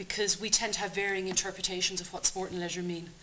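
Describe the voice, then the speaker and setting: A woman with a southern Irish accent talks in a fairly low pitch and a monotone, flat intonation. Noticeable background noise runs underneath. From Republic of Ireland. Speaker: university lecturer. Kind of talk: seminar talk. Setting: seminar with audience.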